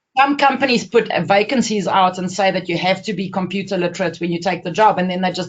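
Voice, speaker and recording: The delivery is very fast and somewhat breathy. Pitch variation is ordinary. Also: woman. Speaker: webinar presenter. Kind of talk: webinar presentation. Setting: webinar call.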